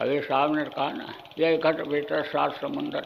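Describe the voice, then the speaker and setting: Monotone and flat, a man with a fairly high pitch speaks amid noticeable background noise and audible room echo. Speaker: spiritual guru. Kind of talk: sermon. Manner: forceful.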